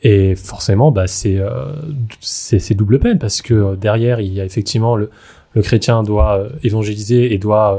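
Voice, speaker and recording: His pitch sits fairly low, and the tone is dark and mellow. The man's voice is also somewhat breathy. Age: 20s. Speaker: layperson returning to faith. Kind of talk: casual chat.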